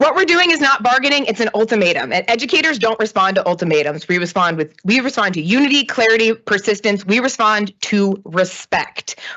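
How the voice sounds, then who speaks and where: A woman with a fairly high pitch talks at a fairly quick pace with hardly any pauses, very wide pitch swings and very even loudness. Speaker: public commenter, educator. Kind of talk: public comment at board meeting. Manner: fast; impassioned.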